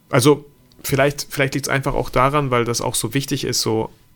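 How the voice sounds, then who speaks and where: Here is a man with a plain, everyday voice. His pitch is medium and his intonation fairly even. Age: 30s. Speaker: photographer and videographer. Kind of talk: casual interview.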